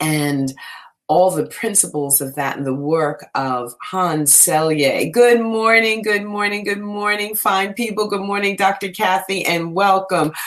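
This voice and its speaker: A woman's animated, warm tone and lively intonation at a fairly slow pace, over noticeable background noise. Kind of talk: radio-style DJ patter, live-streamed morning meditation show opening with greetings. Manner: animated, warm, high-energy, repeating greetings in a sing-song cadence.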